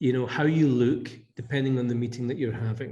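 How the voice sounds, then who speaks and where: Amid audible room echo, a man with a Scottish accent speaks at a medium pitch in a somewhat breathy, dark, mellow tone with fairly even intonation. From Scotland. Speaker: business leader. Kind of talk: podcast interview. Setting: office.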